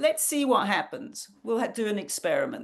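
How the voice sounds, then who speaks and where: Against a quiet background, a woman with a British accent speaks at a high pitch with ordinary pitch variation. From England. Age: 60s. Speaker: nutrition counselor. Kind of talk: online workshop talk.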